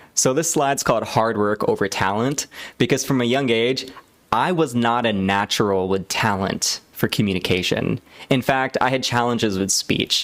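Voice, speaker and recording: With an unremarkable speaking voice, a man talks at a moderate pace in a medium pitch, his pitch varying in an ordinary way and his loudness very even. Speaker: public speaking coach. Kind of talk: tutorial presentation to camera.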